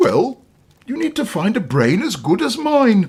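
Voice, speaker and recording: A man in a put-on character voice at an extremely high pitch and moderate pace. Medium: read story. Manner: pompous, grunting.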